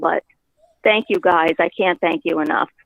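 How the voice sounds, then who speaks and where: Using a put-on character voice, a woman speaks at a moderate pace. Her voice is raspy and fairly low. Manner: grateful, sincere.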